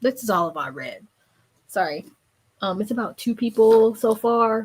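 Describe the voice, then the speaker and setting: A somewhat breathy woman's voice, fairly high in pitch, at a moderate pace on a very clean recording with a silent background. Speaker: book vlogger / livestream host. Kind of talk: casual livestream chat. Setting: livestream with live comments.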